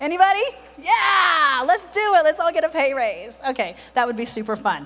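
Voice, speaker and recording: A woman speaks in an animated tone at an extremely high pitch, her voice swinging very widely, with noticeable background noise behind her. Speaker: home care business owner. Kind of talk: conference presentation. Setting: stage with audience. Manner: fast.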